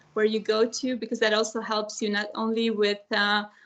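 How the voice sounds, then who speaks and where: At a moderate pace, a woman speaks with a fairly high pitch. Her intonation stays monotone and flat. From Romania. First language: Serbian. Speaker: former EU trainee, government advisor. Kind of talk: panel talk in an online webinar. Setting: online video meeting. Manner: hesitant, many fillers.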